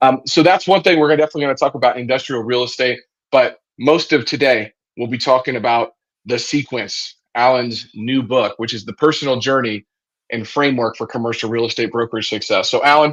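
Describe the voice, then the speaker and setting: A man with an unremarkable speaking voice talks at medium pitch and a fairly quick pace, with ordinary pitch variation and a quiet background. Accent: American. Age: 30s. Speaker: podcast host, commercial real estate advisor. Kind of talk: podcast interview.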